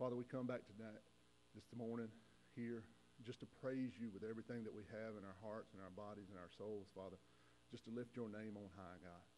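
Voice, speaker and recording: The tone is dark and mellow, with fairly even intonation. Light background noise can be heard. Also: man. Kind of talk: welcome, prayer and personal thanks. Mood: grateful, emotional. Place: church. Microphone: lapel.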